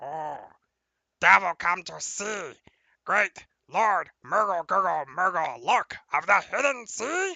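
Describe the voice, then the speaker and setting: Fairly slow, middle-pitched put-on character voice. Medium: actual play.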